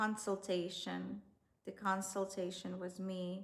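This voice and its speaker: Flat, monotone intonation from a woman with a medium-pitched voice. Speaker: relationship coach. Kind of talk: online course tutorial; sales pitch. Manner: slow.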